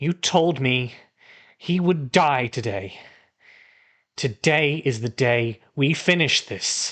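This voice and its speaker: Putting on a breathy, strained character voice at a medium pitch, a man speaks at a very slow pace with long, frequent pauses. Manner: intense, vengeful.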